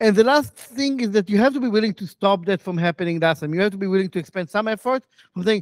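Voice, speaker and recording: A man with ordinary pitch variation, dry sound with no echo, and a quiet background. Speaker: conference speaker. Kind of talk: lecture. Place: hall.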